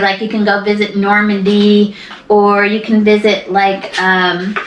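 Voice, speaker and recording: A woman with a fairly high pitch speaks at a fairly slow pace. The recording has audible room echo and noticeable background noise. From US West, Mojave Desert, California. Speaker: interviewee, mother. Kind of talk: casual chat.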